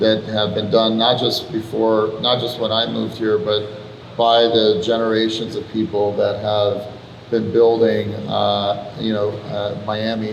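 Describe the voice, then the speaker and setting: Amid noticeable background noise and audible room echo, a man talks at a fairly slow pace. His pitch is fairly low and his intonation monotone and flat. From Iran. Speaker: venture capitalist. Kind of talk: panel conversation.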